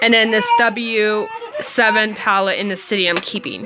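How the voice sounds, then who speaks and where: A woman's voice amid noticeable background noise. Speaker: beauty vlogger. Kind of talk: casual video talk.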